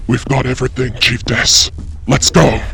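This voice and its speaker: At a moderate pace and medium pitch, a man performs a put-on character voice over clear background noise. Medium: audio drama.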